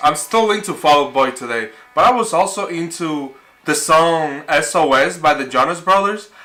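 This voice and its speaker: With music in the background, a man with a Spanish accent speaks at a high pitch. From Dominican Republic. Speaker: youtuber. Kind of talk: casual vlog talk. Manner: animated.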